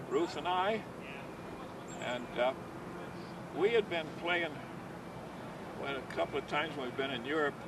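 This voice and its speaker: Noticeable background noise runs through this clip. The man's fairly high voice keeps a moderate speed, and its pitch varies in an ordinary way. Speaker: bocce league founder. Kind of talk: interview. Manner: halting.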